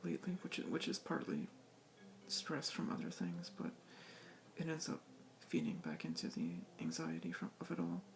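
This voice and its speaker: A man speaks at a moderate speed. Behind him, music is playing. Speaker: video game collector vlogger. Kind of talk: casual vlog. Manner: halting, hesitant.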